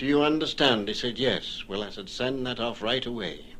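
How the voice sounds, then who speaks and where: A man's bright, sharp voice at medium pitch, with lively intonation and a moderate pace. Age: 70s. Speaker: retired ship's officer. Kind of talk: radio interview recollection.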